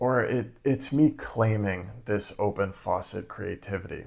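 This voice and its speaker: A man speaks quietly at a fairly low pitch, with ordinary pitch variation. His pace is fairly slow, and the recording is very clean with a silent background. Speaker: creativity coach and video creator. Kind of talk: casual vlog monologue. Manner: quiet, hushed for neighbors.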